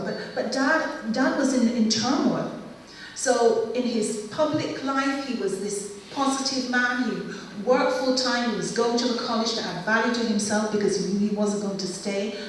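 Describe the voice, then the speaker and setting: A woman with a fairly high pitch speaks at a moderate pace with ordinary pitch variation, and there's noticeable background noise and audible room echo. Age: 60s. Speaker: family history speaker. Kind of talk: public presentation.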